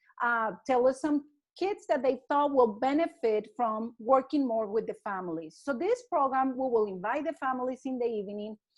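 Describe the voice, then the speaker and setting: A woman with a Spanish accent, high pitch and lively intonation at a moderate pace over a quiet background. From Colombia. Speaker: early childhood educator. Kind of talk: casual interview.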